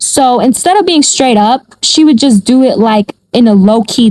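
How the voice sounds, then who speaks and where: A woman speaks in a somewhat breathy voice with a dark, mellow tone. The sound is dry and close, with no echo. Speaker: storytime vlogger. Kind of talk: casual storytelling. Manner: animated.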